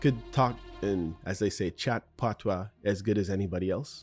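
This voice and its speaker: Over music in the background, a man with a Canadian accent talks in a very deep, low pitch with lively intonation. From Canada, Jamaican parents. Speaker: podcast host. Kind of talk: solo podcast Q&A monologue. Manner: casual, with many fillers.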